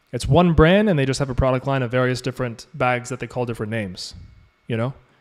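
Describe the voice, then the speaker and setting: A man speaks at a medium pitch. His pace is fairly quick. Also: very clean recording, silent background. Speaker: e-commerce coach. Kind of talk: live Q&A mentorship stream. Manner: fast; animated.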